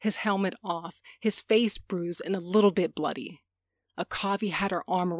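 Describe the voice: The intonation stays fairly even. It is plain reading aloud against a quiet background.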